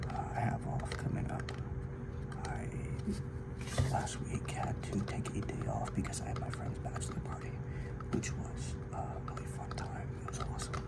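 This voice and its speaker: Whispering in a relaxed tone, a man speaks over noticeable background noise. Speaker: ASMR creator. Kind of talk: casual talk to camera, life ramble. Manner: soft-spoken, relaxed.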